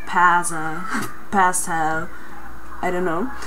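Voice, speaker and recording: With an Italian accent, a woman talks in a fairly low pitch over light background noise. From Italy. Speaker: Italian vlogger teaching pronunciation. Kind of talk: casual talk to camera. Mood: friendly, lightly amused. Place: home room. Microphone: webcam.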